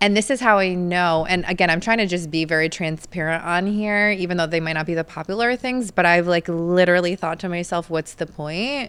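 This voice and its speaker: A woman with a fairly low pitch, ordinary pitch variation and a fairly quick pace, an unremarkable speaking voice on a very clean recording with a silent background. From New York. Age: 30s. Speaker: mental health counselor. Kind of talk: casual chat.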